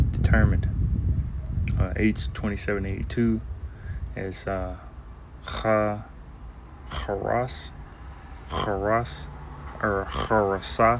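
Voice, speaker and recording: Man with a soft-spoken delivery. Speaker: bible teacher. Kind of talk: bible lesson. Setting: outdoors. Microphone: echo.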